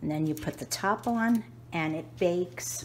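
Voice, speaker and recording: A woman with an American accent and a very deep, low pitch swings her pitch very widely, amid noticeable background noise and audible room echo. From New York. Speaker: home cooking youtuber. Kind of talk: cooking tutorial. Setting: home kitchen. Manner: casual, chatty.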